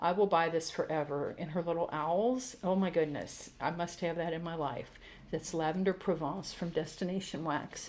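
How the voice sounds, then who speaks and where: Speaking at a moderate pace, a woman uses a fairly low voice. Her intonation stays fairly even. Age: 60s. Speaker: YouTuber reviewing scented wax. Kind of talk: casual product review.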